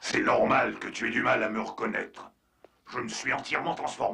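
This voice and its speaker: A man's raspy, cartoonish character voice, medium in pitch, at a moderate pace. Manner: curt, cool.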